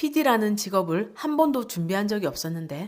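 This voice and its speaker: Speaking in a strong Gyeongsang accent, a woman uses a medium pitch with very wide pitch swings. Her pace is moderate, and the recording is very clean with a silent background. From Gyeongsang region, South Korea. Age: 40s. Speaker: book reviewer. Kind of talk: book review narration.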